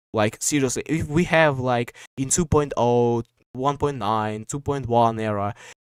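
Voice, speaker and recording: Here a man with a Russian accent speaks at a medium pitch and a fairly slow pace, his pitch varying in an ordinary way. The sound is dry and close, without echo. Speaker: podcast host. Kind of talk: casual chat. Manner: halting, many fillers.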